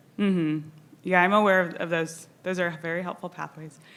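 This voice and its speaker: A woman's shaky, fairly low voice with a bright, sharp tone at a moderate pace. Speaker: audience member asking question, surgeon. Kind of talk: conference Q&A question. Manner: shaky voice.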